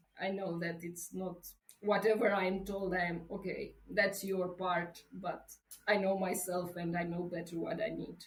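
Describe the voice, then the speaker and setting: A woman with a Romanian accent speaks fairly slowly at a medium pitch, her intonation monotone and flat, with audible room echo. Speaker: travel coach and writer. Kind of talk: interview. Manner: halting.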